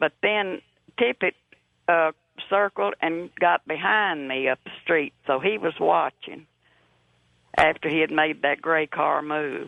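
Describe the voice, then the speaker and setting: The speaker has a Texan accent and a fairly slow pace. Long, frequent pauses break up the speech. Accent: Texan Southern US. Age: 80s+. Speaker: caller, eyewitness. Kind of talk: testimony. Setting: phone call.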